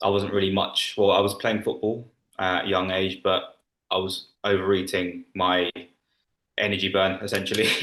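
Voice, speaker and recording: In a London accent, a man with a fairly low, bright, sharp voice speaks at a moderate pace, monotone and flat, his loudness very even. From London, England. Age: 20s. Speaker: former coaching client. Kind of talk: interview testimony.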